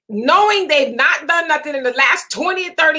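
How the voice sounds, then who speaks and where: At a moderate pace, the speaker uses a raised, projected voice with lively intonation. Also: woman. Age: 30s. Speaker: livestream talk show host. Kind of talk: casual live chat reading viewer comments.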